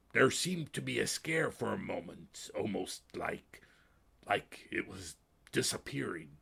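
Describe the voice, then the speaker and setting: In a put-on character voice, a man talks at a fairly slow pace, raspy and guttural at a medium pitch. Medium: read story. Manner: solemn, grave.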